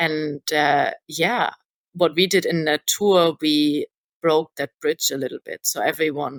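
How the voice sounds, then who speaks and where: In a German accent, a woman speaks fairly slowly with a very deep, low pitch, and the sound is dry and close with no echo. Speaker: stage manager. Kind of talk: podcast interview. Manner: hesitant, many fillers.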